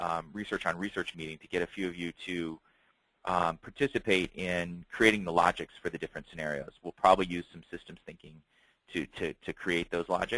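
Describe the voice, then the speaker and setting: A man talks at a fairly quick pace in a very deep, low pitch with a bright, sharp tone. His loudness swings widely, and the sound is dry and close with no echo. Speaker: foresight consultant. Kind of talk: webinar presentation. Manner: fast.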